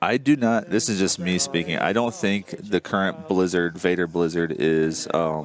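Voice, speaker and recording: This man talks at a moderate pace with lively intonation and very even loudness. He hardly pauses at all. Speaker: tabletop game tournament caster. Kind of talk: live commentary.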